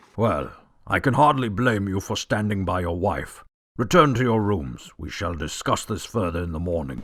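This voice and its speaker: A man speaks at a moderate pace in a put-on character voice, fairly low in pitch, with very wide pitch swings. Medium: audio drama. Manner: authoritative.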